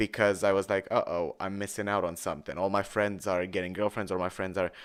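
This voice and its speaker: A man with a Romanian accent, a fairly low pitch and a fairly quick pace in a flat monotone, in a very clean recording with a silent background. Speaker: musician streamer. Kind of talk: casual song breakdown commentary.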